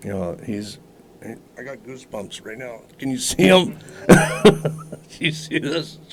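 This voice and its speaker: Over noticeable background noise, a man with a fairly high voice talks very slowly, his pitch swinging very widely and his loudness rising and falling a lot. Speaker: cannabis medicine maker. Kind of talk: interview.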